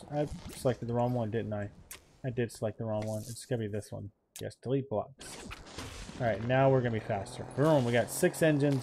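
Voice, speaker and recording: Over light background noise, a man talks at a fairly quick pace with long, frequent pauses. His voice sits at a medium pitch with a dark, mellow tone and ordinary pitch variation. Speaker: gaming YouTuber. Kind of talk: let's play commentary. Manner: animated. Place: home room. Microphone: headset.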